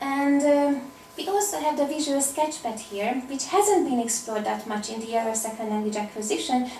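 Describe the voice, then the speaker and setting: A woman with a Hungarian accent talks fairly quickly in a high pitch with lively intonation and hardly any pauses, amid audible room echo and noticeable background noise. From Hungary. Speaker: applied linguistics researcher. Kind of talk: academic conference talk.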